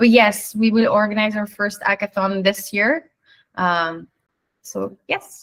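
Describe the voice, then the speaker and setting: Speaking very slowly, a woman uses a medium pitch and fairly even intonation. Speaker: AMA moderator. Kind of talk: live AMA Q&A.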